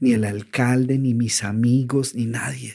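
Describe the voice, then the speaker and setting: A fairly slow-paced man's voice, medium in pitch, with a dark, mellow tone. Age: 60s. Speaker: author and motivational speaker. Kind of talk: podcast interview. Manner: hesitant with repetitions.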